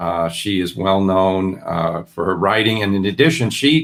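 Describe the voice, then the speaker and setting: On a very clean recording with a silent background, a man with an American accent talks at a moderate pace in a fairly low pitch. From New York (Brooklyn, Westchester County). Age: 60s. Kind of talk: interview. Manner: halting.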